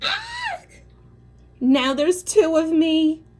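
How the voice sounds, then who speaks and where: A woman's put-on character voice, shouting at an extremely high pitch in a playful tone. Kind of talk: bedtime story. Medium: read story. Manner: playful, expressive.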